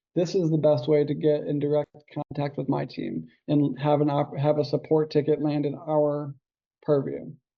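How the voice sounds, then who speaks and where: A man talks at a moderate pace in an unremarkable speaking voice. His pitch is fairly high, with fairly even intonation. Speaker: software onboarding trainer. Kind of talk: group training call.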